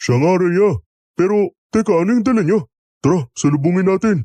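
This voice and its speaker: At a moderate pace, a man uses a put-on character voice in a high pitch. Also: lively intonation, dry, close sound with no echo. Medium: audio drama.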